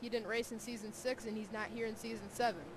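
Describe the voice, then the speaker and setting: A woman with a fairly high pitch is heard against noticeable background noise and audible room echo. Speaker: sim racing commentator. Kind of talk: live commentary. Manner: animated.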